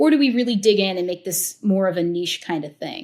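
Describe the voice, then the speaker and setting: Somewhat breathy, a woman speaks at a moderate pace. The recording is very clean with a silent background. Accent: American. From US, Italian American family. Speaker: tequila educator and show host. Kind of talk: interview conversation. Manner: casual, many fillers.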